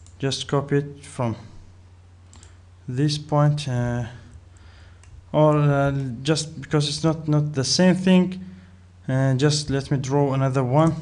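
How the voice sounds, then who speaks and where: A man speaks very slowly with fairly even intonation. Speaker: software tutorial narrator. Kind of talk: tutorial.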